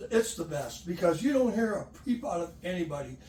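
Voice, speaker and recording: Against noticeable background noise, a man's pitch swings very widely. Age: 70s. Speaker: sports referee and umpire. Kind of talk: casual chat.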